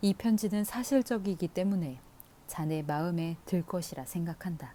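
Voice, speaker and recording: A woman speaks in a calm, dark and mellow tone at a fairly low pitch, somewhat breathy, with lively intonation. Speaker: audiobook reader. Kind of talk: audiobook reading of a classic novel. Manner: soft, calm, ASMR-style reading.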